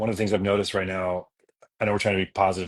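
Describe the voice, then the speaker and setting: This man talks with a Californian accent, his voice dry and close with no echo on a very clean recording with a silent background. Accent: Californian American. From Los Angeles. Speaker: musician. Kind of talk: casual livestream chat.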